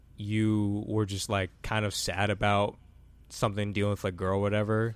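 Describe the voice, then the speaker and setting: At a moderate pace, a man with an American accent and an unremarkable speaking voice talks in a fairly low pitch on a very clean recording with a silent background. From US Midwest, Cleveland, Ohio. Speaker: YouTube creator. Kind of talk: casual chat.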